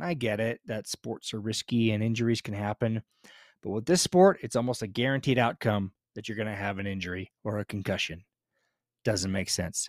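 A man with a normal speaking voice talks at a fairly quick pace, his pitch fairly low with ordinary variation. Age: 50s. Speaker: podcast host and realtor. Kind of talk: scripted intro; casual interview chat.

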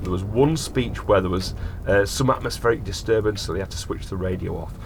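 Noticeable background noise sits behind a man talking at a very fast pace with ordinary pitch variation. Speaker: podcast host. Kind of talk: casual chat.

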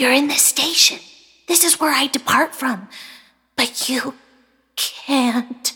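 A high-pitched woman at a fairly slow pace with long, frequent pauses. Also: fairly even intonation. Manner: kind, then scared and tearful.

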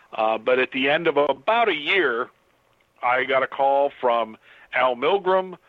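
A man speaks in an ordinary speaking voice at medium pitch. His pitch variation is ordinary. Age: 50s. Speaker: comic book artist. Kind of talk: interview. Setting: Skype call.

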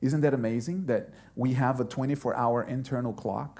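A man talks at a moderate pace in a plain, everyday voice, pitched in the medium range. The recording is very clean with a silent background. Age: 40s. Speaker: pastor. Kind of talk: sermon.

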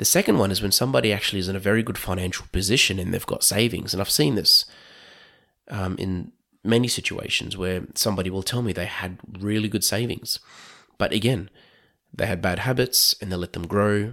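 A man with an Australian accent speaks at a fairly low pitch in a bright, sharp tone. The recording is very clean and the background silent. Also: ordinary pitch variation, fairly quick pace. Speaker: podcast host and financial planner. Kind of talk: monologue podcast talk. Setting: recorded at night.

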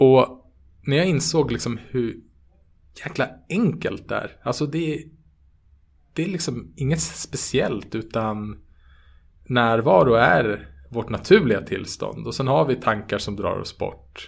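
At a fairly slow pace with long, frequent pauses, a man with a medium pitch and vocal fry speaks using lively intonation. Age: 30s. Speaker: meditation teacher and app co-founder. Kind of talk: interview. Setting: online call.

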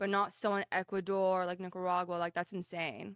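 In a very clean recording with a silent background, a woman with an American accent speaks at a medium pitch in a dry, close sound with no echo. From Iran. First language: Persian. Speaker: PR director and interviewer. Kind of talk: casual interview.

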